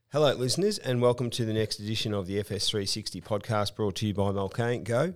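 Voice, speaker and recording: A man with a fairly low pitch talks at a very fast pace with hardly any pauses and ordinary pitch variation. The recording is very clean, with a silent background. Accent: Australian. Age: 40s. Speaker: podcast host. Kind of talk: casual chat.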